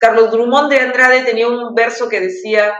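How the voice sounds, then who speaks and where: A woman speaks at a fairly slow pace with a fairly high pitch. Audible room echo surrounds her voice. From Peru. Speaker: poet. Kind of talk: interview. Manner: halting.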